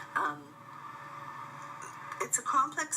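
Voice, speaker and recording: A woman at a fairly slow pace, with noticeable background noise behind her. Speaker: Toastmasters club member giving a speech project. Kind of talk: travelogue voice-over narration. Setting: recorded in a hotel room. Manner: conversational, some filler words.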